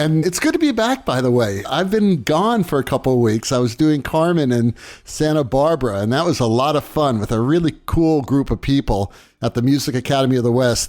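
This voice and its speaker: A man's plain, everyday voice, fairly quick, with lively intonation and very even loudness. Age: 60s. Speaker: lighting designer and podcast co-host. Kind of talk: casual chat.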